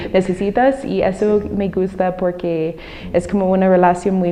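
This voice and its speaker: Over noticeable background noise, a woman with a fairly low pitch speaks at a very slow pace in a monotone, flat intonation. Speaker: former Peace Corps volunteer and teacher. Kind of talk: interview. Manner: halting, with many fillers.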